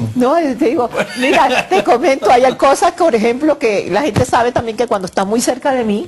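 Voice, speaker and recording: A woman talks fairly quickly in a high pitch with lively intonation, over noticeable background noise. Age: 60s. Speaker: dream interpreter. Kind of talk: TV interview. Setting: TV studio.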